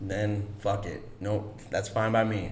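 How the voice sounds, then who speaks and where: A man with an American accent speaks at a fairly low pitch. Audible room echo and noticeable background noise surround him. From Chicago, US Midwest. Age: 30s. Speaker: actor. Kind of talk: casual chat.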